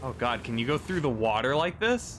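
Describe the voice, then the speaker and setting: A man mumbles. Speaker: gaming streamer. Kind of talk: casual gameplay commentary. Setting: live stream. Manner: mumbling.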